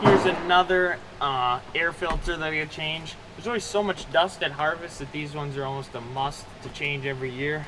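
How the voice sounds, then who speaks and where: A man with an American accent talks at a fairly quick pace and a fairly high pitch, with ordinary pitch variation. Noticeable background noise runs under his voice. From US Midwest, southwest Minnesota. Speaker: farmer and video blogger. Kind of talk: tutorial vlog narration. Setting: farm shop.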